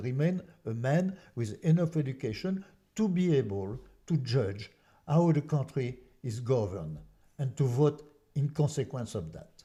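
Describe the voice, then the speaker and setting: With a French accent, a man speaks at a moderate pace and medium pitch, somewhat breathy and dark and mellow in tone with very wide pitch swings, on a very clean recording with a silent background. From France. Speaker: artist and activist. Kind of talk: casual interview. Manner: halting, many repetitions.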